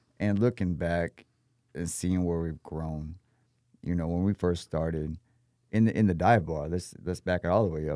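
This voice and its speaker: With an American accent, the voice has a dark, mellow tone and fairly even intonation, in a dry, close sound with no echo. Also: man, very deep, low pitch for a man, moderate pace. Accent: Texan, with a slight New Orleans-like lilt. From Texas. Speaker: chef, restaurant owner and military veteran. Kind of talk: casual interview. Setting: podcast studio. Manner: polite, formal, says sir and ma'am.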